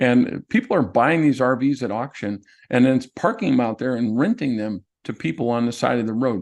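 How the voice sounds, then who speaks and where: Against a quiet background, a man with an ordinary speaking voice talks with lively intonation. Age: 60s. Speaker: real estate investor and note expert. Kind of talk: presentation in an online workshop.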